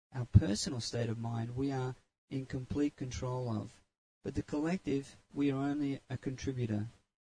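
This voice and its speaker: Somewhat breathy with a dark, mellow tone, a man of medium pitch speaks at a moderate pace with fairly even intonation, the sound dry and close with no echo. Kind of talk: guided meditation.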